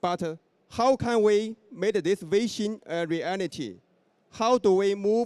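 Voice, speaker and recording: Speaking at a fairly slow pace with a Chinese accent, a man has a high-pitched voice, captured with a dry, close sound and no echo. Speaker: event moderator. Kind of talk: formal event hosting. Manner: formal.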